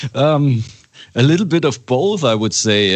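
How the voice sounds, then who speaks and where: A man with a German accent. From Germany. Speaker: metal band musician. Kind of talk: interview. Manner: halting.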